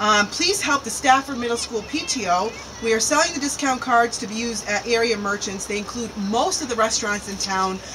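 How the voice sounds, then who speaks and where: Over noticeable background noise, a woman talks at a fairly quick pace with hardly any pauses and ordinary pitch variation. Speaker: local show co-host. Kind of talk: reading community announcements. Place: waterside.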